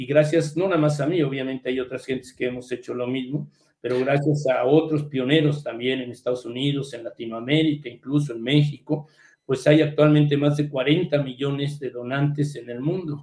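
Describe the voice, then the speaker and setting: With fairly even intonation, a man talks at a moderate pace in an unremarkable speaking voice pitched fairly high. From Mexico City. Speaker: hematologist. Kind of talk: interview.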